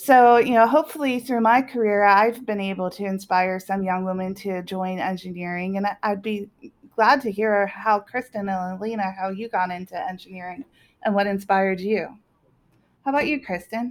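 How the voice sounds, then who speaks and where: Using an ordinary speaking voice, a woman talks at a medium pitch and moderate pace with ordinary pitch variation. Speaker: engineer and panel host. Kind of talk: casual panel conversation.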